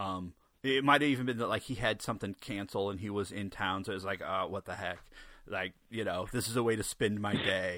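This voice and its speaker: A man with an unremarkable speaking voice talks at a fairly quick pace in a fairly low pitch. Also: ordinary pitch variation, very clean recording, silent background. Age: 40s. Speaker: podcast host. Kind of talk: casual interview.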